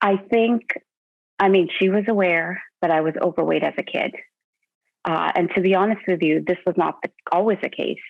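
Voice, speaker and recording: A woman with a Canadian accent speaks at a medium pitch and a moderate pace. Her intonation is fairly even, and she takes long, frequent pauses. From Canada. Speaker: weight-loss client. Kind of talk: interview. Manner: halting.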